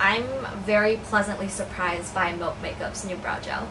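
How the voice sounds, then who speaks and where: Over noticeable background noise and audible room echo, a woman with a fairly high pitch talks at a moderate pace. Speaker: beauty vlogger. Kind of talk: product review.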